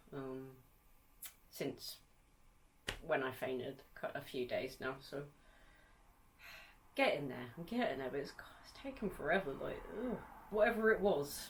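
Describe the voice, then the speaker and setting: A woman speaks with lively intonation. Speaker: gaming YouTuber. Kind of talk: casual chat. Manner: hesitant, many fillers.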